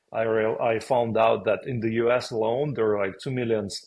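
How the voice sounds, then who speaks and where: At a medium pitch, a man delivers his words at a moderate pace. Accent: strong Russian. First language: Russian. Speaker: podcast co-host, former business owner. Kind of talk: casual conversation.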